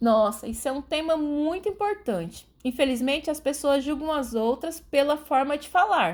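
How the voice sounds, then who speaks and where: In an interior São Paulo accent, a woman speaks at a high pitch and a fairly slow pace. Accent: Brazilian caipira. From Brazil, Rondônia state. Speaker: guest expert, writer. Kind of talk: educational podcast interview.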